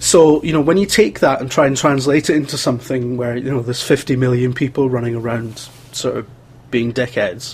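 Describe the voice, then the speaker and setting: A man with a Scottish accent, medium pitch, ordinary pitch variation and a fairly quick pace, amid noticeable background noise. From Scotland (Wales until about 10). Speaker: games journalist and video producer. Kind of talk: casual chat.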